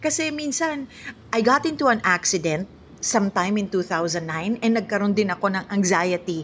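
Very wide pitch swings run through the medium-pitched speech of a woman. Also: moderate pace. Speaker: vlogger. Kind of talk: casual vlog talk.

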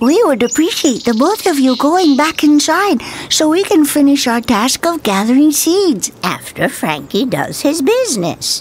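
A squeaky, high-pitched put-on character voice runs at a moderate pace with hardly any pauses. Clear background noise sits underneath. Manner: polite, formal.

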